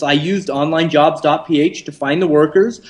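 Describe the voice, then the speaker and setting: Noticeable background noise sits under a man's fairly high-pitched voice. He keeps a moderate pace with ordinary pitch variation. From Canada. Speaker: entrepreneur. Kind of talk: interview. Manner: filler-heavy, with frequent um and uh.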